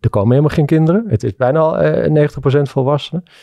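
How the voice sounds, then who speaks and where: Speaking at a fairly quick pace, a man comes through with a dry, echo-free sound against a quiet background. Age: 40s. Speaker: entrepreneur; guest. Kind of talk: interview. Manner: halting. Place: studio. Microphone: studio mic.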